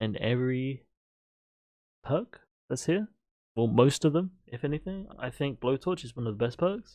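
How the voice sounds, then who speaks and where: Lively in intonation and at a medium pitch, a man speaks at a fairly slow pace in a dark, mellow tone. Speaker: gaming streamer. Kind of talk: casual commentary. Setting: livestream. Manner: halting, repeats words.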